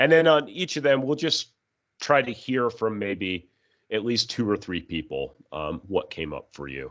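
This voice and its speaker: A man of medium pitch speaks at a fairly slow pace, with vocal fry and very wide pitch swings. His loudness rises and falls sharply against a quiet background. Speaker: trainer. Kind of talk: training workshop.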